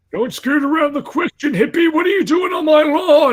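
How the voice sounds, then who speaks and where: A man puts on a character voice at an extremely high pitch. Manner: gruff, scolding.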